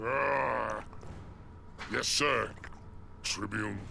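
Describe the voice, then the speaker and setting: A man puts on a character voice. Background noise is clearly heard. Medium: video game.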